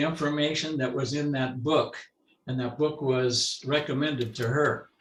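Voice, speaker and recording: A somewhat breathy man with an American accent, fairly high pitch, moderate pace and ordinary pitch variation. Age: 80s+. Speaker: right-to-die activist. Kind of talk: panel discussion.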